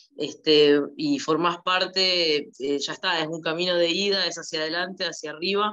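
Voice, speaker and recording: A woman with a Rioplatense accent speaks at a moderate pace in a fairly low pitch, with ordinary pitch variation, hardly any pauses and a quiet background. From Argentina. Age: 20s. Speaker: daughter of war veteran. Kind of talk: interview. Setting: video call. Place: home room. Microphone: video call.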